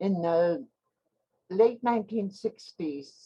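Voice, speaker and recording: In a Canadian Arctic accent, the speaker talks at a very slow pace with a dark, mellow tone. The sound is dry and close, with no echo. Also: woman. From Nunavut, Canadian Arctic (Inuit). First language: Inuktitut. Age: 70s. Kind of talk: virtual educational talk. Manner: hesitant with many filler words.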